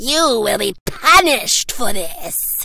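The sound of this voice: A woman does a cartoonish character voice at a slow pace, her fairly high pitch carrying vocal fry, lively intonation and a bright, sharp tone.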